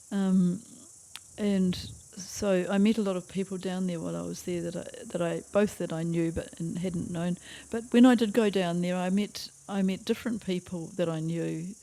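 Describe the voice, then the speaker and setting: In a very clean recording with a silent background, a woman with a New Zealand accent speaks at a moderate pace, her dark, mellow tone at medium pitch with fairly even intonation. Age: 80s+. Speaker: retired school teacher. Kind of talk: interview answer. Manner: hesitant.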